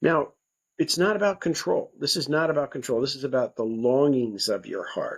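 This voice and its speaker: A man with an American accent speaks at a moderate pace on a very clean recording with a silent background. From United States. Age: 60s. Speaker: nonprofit co-founder and life coach. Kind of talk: podcast interview. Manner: conversational.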